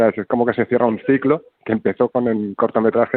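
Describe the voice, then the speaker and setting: Speaking at a medium pitch, a man moves at a fairly quick pace. His intonation is monotone and flat. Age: 40s. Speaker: film director. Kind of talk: interview. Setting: phone call.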